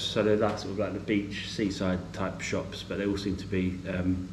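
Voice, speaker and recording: A man with an English accent mumbles at a moderate pace amid noticeable background noise and audible room echo. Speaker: travel vlogger. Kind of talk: casual vlog talk to camera. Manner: mumbles a bit; hesitant, many fillers.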